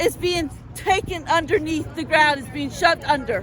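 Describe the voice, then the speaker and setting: Over noticeable background noise, a woman speaks loudly at an extremely high pitch. Her pace is fairly slow, with ordinary pitch variation. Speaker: rally speaker. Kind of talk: speech at a rally.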